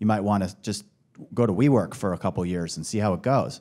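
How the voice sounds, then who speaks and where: A man's dark, mellow tone at a fairly quick pace. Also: very clean recording, silent background. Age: 40s. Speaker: venture capital investor. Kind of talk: panel discussion.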